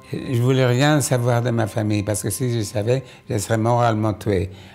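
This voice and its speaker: Over music in the background, a man talks at a fairly slow pace with ordinary pitch variation. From Poland. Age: 80s+. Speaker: Holocaust survivor. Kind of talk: documentary interview answer.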